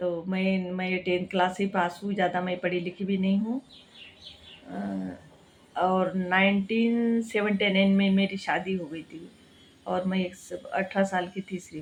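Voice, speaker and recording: A woman's medium-pitched voice in a Marathi accent, with monotone, flat intonation. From Maharashtra, India. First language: Marathi (speaking Hindi). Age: 60s. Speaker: cooking and health vlogger. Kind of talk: casual vlog talk. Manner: halting, with many restarts.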